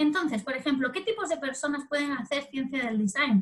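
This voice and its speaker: A woman speaks at a fairly quick pace. Her high pitch rides on lively intonation. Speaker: doctoral candidate lecturer. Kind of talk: lecture. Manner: fast; halting.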